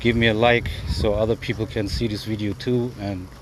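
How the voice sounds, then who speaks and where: At a moderate pace, a man with a German accent speaks at a fairly low pitch with ordinary pitch variation. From Germany, Hamburg. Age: 20s. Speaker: YouTuber on narcissistic abuse recovery. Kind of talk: casual vlog monologue. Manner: unscripted, rambling freestyle.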